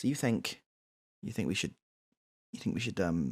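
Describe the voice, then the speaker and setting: At a moderate pace and medium pitch, a man talks with a British accent. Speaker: radio talk show host. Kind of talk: comedic call-in talk show. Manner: repetitive, halting.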